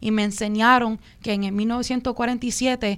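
In a very clean recording with a silent background, a woman talks at a fairly high pitch with fairly even intonation. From New York Puerto Rican diaspora (Williamsburg, Brooklyn). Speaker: activist campaign leader. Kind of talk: panel discussion.

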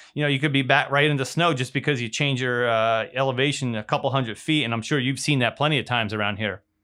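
The words come at a very fast pace with hardly any pauses and fairly even intonation. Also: man, medium pitch for a man. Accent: American. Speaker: meteorologist podcast host. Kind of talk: casual chat.

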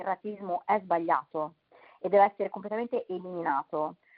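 A woman speaks in a normal speaking voice at a fairly quick pace. Her intonation stays fairly even. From Milan, Italy. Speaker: nonprofit founder. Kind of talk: interview.

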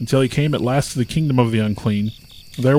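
The voice is plain reading aloud. Its pitch varies in an ordinary way.

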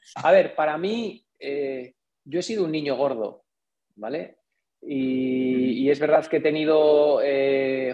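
Music plays behind a man speaking. His pitch is fairly high, with ordinary variation. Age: 40s. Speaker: engineer and entrepreneur. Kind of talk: interview.

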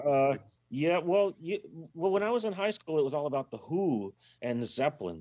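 With an American accent, a man speaks in a fairly high pitch with a dark, mellow tone. His delivery has very wide pitch swings at a moderate pace. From Berkeley, California. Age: 50s. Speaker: rock bass player. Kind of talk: casual interview. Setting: video call from a car.

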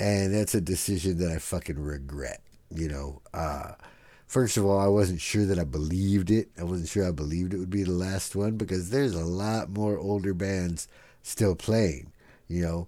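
A man's very deep, low voice with a dark, mellow tone and ordinary pitch variation, at a moderate pace with an American accent, on a very clean recording with a silent background. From San Diego, California. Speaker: podcast host. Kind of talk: casual chat. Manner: casual, filler-heavy.

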